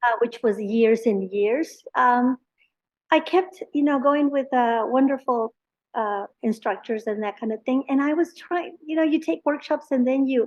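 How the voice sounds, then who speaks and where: With a Spanish accent, a woman speaks at a fairly slow pace. Her pitch is high and her pitch variation ordinary. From Mexico, Monterrey. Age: 60s. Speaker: painter. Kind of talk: interview. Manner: halting.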